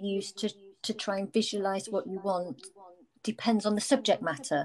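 Here is a woman with an ordinary speaking voice. Her pitch is fairly high, with ordinary pitch variation. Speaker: podcast host. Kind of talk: casual interview. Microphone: echo on recording.

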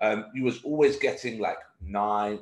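A man speaks with a British accent. The background is quiet, with audible room echo. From UK. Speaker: podcast host and coach. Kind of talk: casual interview. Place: office. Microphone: video call.

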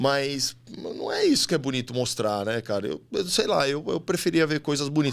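This man's voice sits at a fairly high pitch, with lively intonation. He talks at a moderate pace. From São Paulo, Lapa district; São Paulo. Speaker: model, actor and reality show contestant; actor. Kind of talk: casual chat. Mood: relaxed, chatty. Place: studio. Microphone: studio mic.

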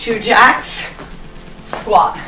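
Faint music plays in the background. The room echo is audible. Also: woman. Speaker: fitness instructor. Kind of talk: workout instruction cues. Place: studio.

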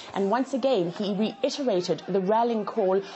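There is light background noise behind a woman speaking. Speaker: field correspondent. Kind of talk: news report.

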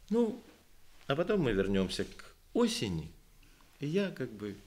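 The man's voice swings very widely in pitch. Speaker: poet and composer; poet. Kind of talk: literary talk with poetry reading. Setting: library event with audience. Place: hall. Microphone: podium.

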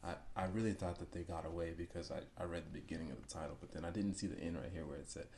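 A man's very deep, low-pitched voice with vocal fry and an American accent, at a very fast pace over light background noise. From US South. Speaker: YouTuber reacting to car chase videos. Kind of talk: casual reaction commentary. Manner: animated. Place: home room.

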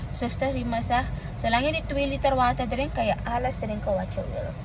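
At a moderate pace, a woman speaks in a dry sound with no echo over noticeable background noise. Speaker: vlogger. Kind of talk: casual vlog chat. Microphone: phone near.

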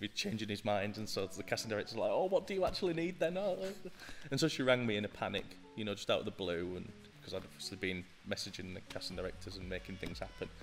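The speech runs at a very fast pace over light background noise. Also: man. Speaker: podcast guest. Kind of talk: interview answer. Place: studio. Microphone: studio mic.

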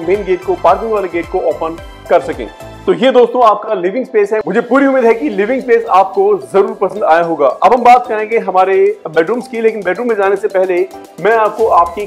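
A high-pitched male voice at a moderate pace, with ordinary pitch variation and faint music in the background. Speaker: presenter. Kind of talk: property tour commentary. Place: home room. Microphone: lapel.

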